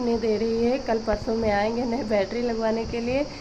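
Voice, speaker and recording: Over noticeable background noise, a woman with a fairly high pitch talks at a moderate pace in a monotone, flat intonation. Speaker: village vlogger. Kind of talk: casual vlog.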